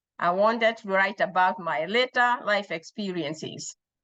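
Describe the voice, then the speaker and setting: With a Kenyan accent, a woman speaks at a fairly slow pace in a medium pitch with ordinary variation and a bright, sharp tone. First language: Kikuyu. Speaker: author. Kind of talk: personal storytelling about her book. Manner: halting, with self-corrections.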